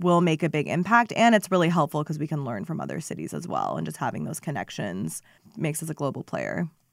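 A woman with a fairly low pitch, vocal fry, and a General American accent. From Phoenix area, Arizona. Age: 20s. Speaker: city council member and former climate policy advisor. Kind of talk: interview. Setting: studio.

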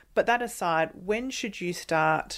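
The recording is very clean and the background silent. Vocal fry runs through this woman's speech. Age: 30s. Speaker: podcast host. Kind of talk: interview.

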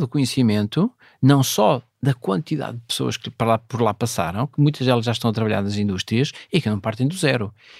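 A very clean recording with a silent background and a dry, close sound free of echo. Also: man. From northern Portugal, Vila Nova de Cerveira (Minho). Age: 50s. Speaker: space agency president. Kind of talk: interview. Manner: halting, many fillers.

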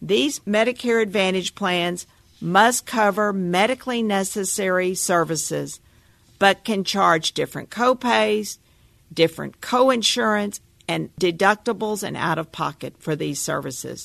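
A woman with an American accent talks at a fairly slow pace in an ordinary speaking voice of medium pitch, over a quiet background. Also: ordinary pitch variation. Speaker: Medicare advisor. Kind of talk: scripted narration. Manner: formal.

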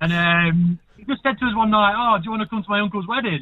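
With an English accent, a man speaks at a fairly quick pace with lively intonation. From England. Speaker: radio caller. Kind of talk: casual chat. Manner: animated.

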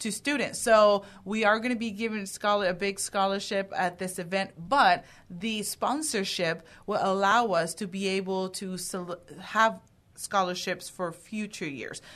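A woman's ordinary speaking voice at a fairly slow pace. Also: medium pitch for a woman, ordinary pitch variation. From Houston area, Texas (born in Dominican Republic). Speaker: aviation nonprofit co-founder. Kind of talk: radio interview.

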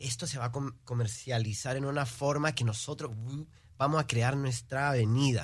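A somewhat breathy voice with ordinary pitch variation on a very clean recording with a silent background. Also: man. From Houston, Texas, Peruvian parents. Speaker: singer, musician. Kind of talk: interview.

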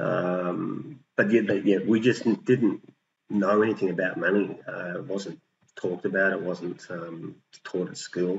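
An Australian accent marks this man's fairly low voice, which shows big swings in loudness. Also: ordinary pitch variation, fairly slow pace. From New South Wales Central Coast, Australia. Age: 50s. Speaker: property investor. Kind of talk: interview. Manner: halting, many fillers and repetitions.

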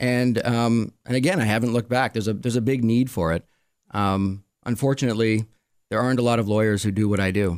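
A man with a Quebec accent speaks at a very fast pace and medium pitch, with fairly even intonation and very even loudness, in a very clean recording with a silent background. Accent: Canadian, Quebec-tinged English. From Montreal, Quebec, Canada. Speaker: attorney. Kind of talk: casual interview. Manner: hesitant, filler-heavy.

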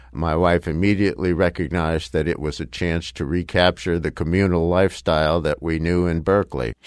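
A man speaks with a very deep, low pitch and fairly even intonation. He leaves hardly any pauses. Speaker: nonprofit volunteer organizer. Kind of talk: interview.

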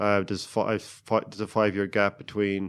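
In a Cork accent, a fairly low-pitched man speaks at a moderate pace with monotone, flat intonation. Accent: Cork Irish. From Ireland, County Cork. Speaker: Olympic rower. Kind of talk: interview.

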